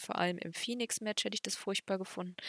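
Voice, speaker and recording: Her voice has a bright, sharp tone, and this woman speaks at a medium pitch with fairly even intonation in a dry, close sound with no echo. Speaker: wrestling podcast co-host. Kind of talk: solo recap monologue; casual chat.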